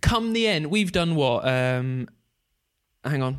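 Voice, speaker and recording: Fairly high-pitched man with an English accent, lively intonation, and a very slow pace. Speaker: podcast host. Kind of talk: casual chat.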